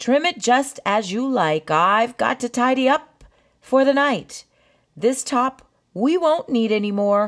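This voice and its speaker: In a put-on character voice, a female-sounding speaker uses a raised, projected delivery at a high pitch and a fairly slow pace. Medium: read story. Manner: brisk, practical.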